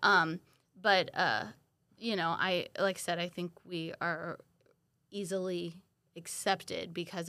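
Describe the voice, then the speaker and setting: In an American accent, a woman speaks at a fairly low pitch with vocal fry, a bright, sharp tone and monotone, flat intonation, on a very clean recording with a silent background. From US South, Florida Panhandle (Milton). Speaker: podcast guest, mother. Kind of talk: casual interview.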